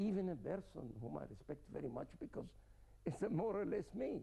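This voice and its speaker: A man with a fairly high pitch speaks at a moderate pace, his tone dark and mellow. His pitch swings very widely, with some vocal fry. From Germany, from age twelve. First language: German. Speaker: scientist, interview guest. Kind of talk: TV interview.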